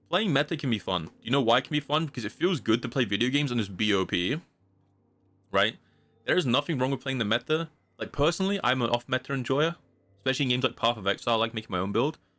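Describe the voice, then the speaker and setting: A man's very fast, lively-intoned speech with music in the background. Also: medium pitch for a man. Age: 20s. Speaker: video game streamer. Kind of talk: casual live-stream chat while gaming. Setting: live stream. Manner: animated.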